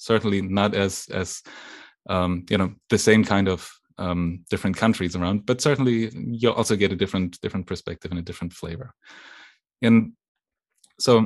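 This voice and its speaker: With a German accent, a man speaks at a fairly quick pace in a fairly low pitch with ordinary pitch variation, over a quiet background. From western Germany. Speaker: technology executive. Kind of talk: interview. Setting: video call.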